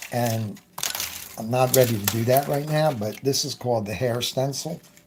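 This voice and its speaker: With noticeable background noise around him, a man keeps a moderate pace and ordinary pitch variation. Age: 70s. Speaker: airbrush artist. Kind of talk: tutorial. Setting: live stream. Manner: casual.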